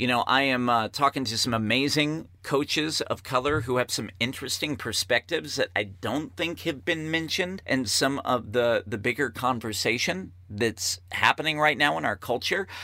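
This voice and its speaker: A man talks in a bright, sharp tone with lively intonation. He leaves hardly any pauses. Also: medium pitch for a man, moderate pace. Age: 40s. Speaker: podcast host and life coach. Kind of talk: solo podcast monologue. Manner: unscripted, conversational.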